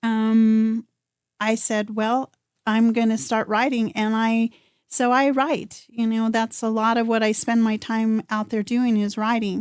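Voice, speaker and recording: At a fairly slow pace, a woman with a fairly high pitch speaks in monotone, flat intonation at very even loudness, in a very clean recording with a silent background and a dry, close sound with no echo. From New Mexico (Rowe Mesa). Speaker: singer-songwriter. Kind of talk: radio interview. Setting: studio.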